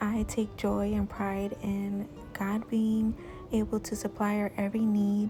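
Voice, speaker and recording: Music plays in the background. A woman is speaking. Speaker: lifestyle vlogger. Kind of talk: vlog voiceover. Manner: somewhat polished, commercial-sounding.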